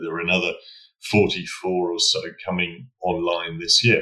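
The man talks fairly slowly. He has an English accent. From England, Norwich. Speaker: motoring organisation president. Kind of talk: interview.

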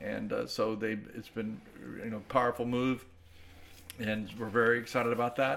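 In an American accent, a man speaks with monotone, flat intonation and long, frequent pauses. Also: medium pitch for a man, moderate pace. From Tampa Bay, Florida. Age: 60s. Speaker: pastor and ministry leader. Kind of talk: casual interview.

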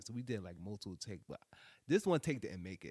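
A man with a New York accent talks in an animated tone. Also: dry, close sound with no echo. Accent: New York City (Brooklyn). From Brooklyn, New York City (Brownsville). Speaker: web series creator, writer and director. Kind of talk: casual interview chat.

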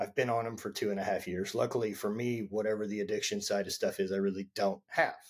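With a Southern US accent, the speaker races along at a very fast pace with hardly any pauses on a very clean recording with a silent background. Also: man. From Louisiana. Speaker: former athlete. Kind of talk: casual interview.

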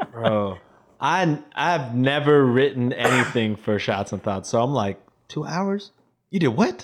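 A man with an American accent talks at a fairly slow pace. He has a plain, everyday voice at a medium pitch. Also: lively intonation. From Texas. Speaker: podcast host. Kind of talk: casual chat.

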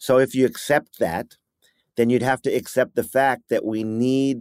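With a New York accent, a man talks fairly slowly with ordinary pitch variation in a dry, close, very clean recording with a silent background and no echo. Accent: New York American. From New York, US. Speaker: youth football coach. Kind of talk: interview.

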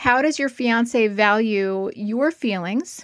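Her ordinary speaking voice sits at a fairly high pitch, with ordinary pitch variation. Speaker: clinical psychologist. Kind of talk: advice interview answering listener questions.

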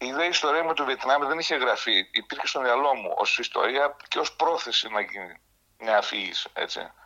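Here a man speaks at a fairly high pitch. His tone is bright and sharp. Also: ordinary pitch variation, moderate pace. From Thessaloniki, northern Greece. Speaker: writer. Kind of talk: interview.

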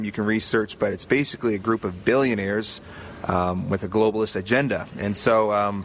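Flat, monotone intonation from a man with a fairly low pitch, plus noticeable background noise. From Nova Scotia, Canada. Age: 20s. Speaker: youth pastor. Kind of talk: podcast interview. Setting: convention center booth.

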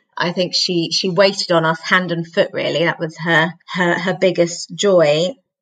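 This woman speaks with a British accent. Her pitch is fairly low and her intonation is monotone and flat. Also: moderate pace, hardly any pauses. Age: 30s. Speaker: children's author and singer-songwriter. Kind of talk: casual chat.

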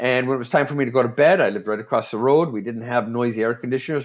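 Speaking at a very fast pace, a man with a Canadian accent keeps a medium pitch and ordinary pitch variation. The background is quiet. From Ontario, Curve Lake First Nation. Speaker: playwright and humorist. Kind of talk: interview.

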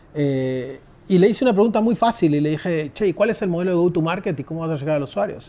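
With a dark, mellow tone and lively intonation, a man speaks at a high pitch. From Argentina, Buenos Aires. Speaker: crypto exchange executive. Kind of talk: interview. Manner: halting, with many fillers.

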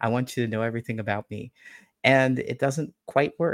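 A man with an American accent has a normal speaking voice, medium in pitch with fairly even intonation. The recording is very clean with a silent background and a dry, close sound with no echo. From small-town Ohio, US Midwest. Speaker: social connection coach. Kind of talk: interview.

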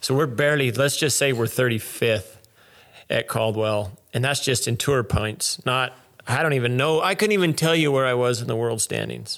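A normal speaking voice with an American accent keeps a moderate pace, very even loudness and ordinary pitch variation. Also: man, medium pitch for a man. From Arizona. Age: 30s. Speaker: rodeo cowboy. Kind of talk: casual interview.

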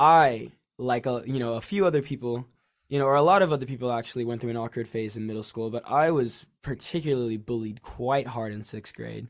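Against a quiet background, a man with an American accent uses a normal speaking voice at a medium pitch with ordinary pitch variation. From Los Angeles. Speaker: rock band musician. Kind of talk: casual interview. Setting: video call.

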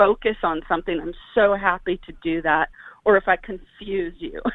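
A woman talks at a moderate pace in a plain, everyday voice. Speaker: author and dancer. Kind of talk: radio interview. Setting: live radio call-in show.

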